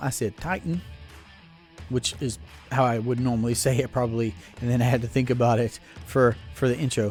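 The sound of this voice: Music plays in the background as a man speaks at a fairly quick pace, broken by long, frequent pauses. His medium pitch shows ordinary variation.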